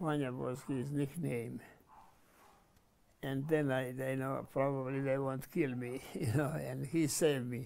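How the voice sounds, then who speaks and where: A man in a Croatian accent, medium-pitched and monotone with flat intonation, at a fairly slow pace. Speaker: war veteran. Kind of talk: interview. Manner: halting.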